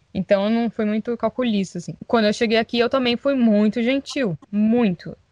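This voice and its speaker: The woman has a normal speaking voice, fairly high in pitch with ordinary variation, and she talks fairly quickly. The sound is dry and close, with no echo. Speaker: podcast co-host, former au pair. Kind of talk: casual chat.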